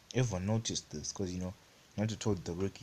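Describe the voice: In this plain reading aloud, the intonation holds fairly even.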